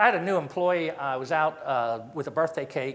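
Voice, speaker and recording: A man's normal speaking voice at a fairly quick pace with ordinary pitch variation. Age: 60s. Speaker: company founder giving invited talk. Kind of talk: talk to audience.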